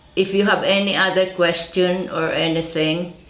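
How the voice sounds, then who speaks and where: A woman speaks at a very slow pace with a fairly low pitch and monotone, flat intonation. Her voice carries audible room echo. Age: 80s+. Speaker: herb farmer. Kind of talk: product presentation.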